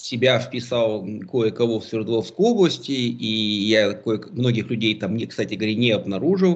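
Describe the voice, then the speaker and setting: This is an unremarkable speaking voice with ordinary pitch variation, delivered at a moderate pace. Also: man, medium pitch for a man. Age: 40s. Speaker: political analyst. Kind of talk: casual chat.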